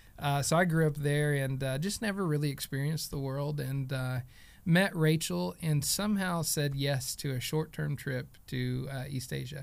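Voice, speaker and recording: A moderate pace with ordinary pitch variation, in an American accent, on a very clean recording with a silent background. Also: man, fairly high pitch for a man. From Oklahoma. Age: 30s. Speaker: theology teacher, pastor. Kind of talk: casual chat.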